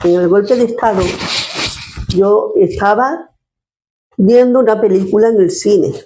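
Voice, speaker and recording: A woman speaks at medium pitch with lively intonation and a fairly slow pace. Audible room echo is heard. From Andalusia, Spain (Córdoba province). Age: 70s. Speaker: retired social worker, grandmother interviewee. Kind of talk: personal testimony. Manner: halting, with repetitions.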